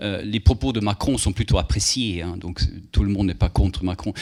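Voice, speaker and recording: A man with a Swedish accent speaks at a fairly quick pace in a fairly low voice. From Sweden. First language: Swedish (speaking French). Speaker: moderator. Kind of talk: public talk Q&A.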